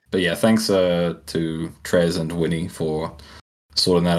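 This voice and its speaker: This man has a British accent, a very deep, low pitch and fairly even intonation. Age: 30s. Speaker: podcast co-host. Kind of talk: casual chat.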